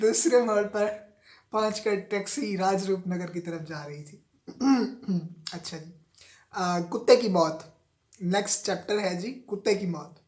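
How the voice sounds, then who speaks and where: The man's voice sits high in pitch, with big swings in loudness. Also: ordinary pitch variation. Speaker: novel reader. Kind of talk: audiobook reading of a novel.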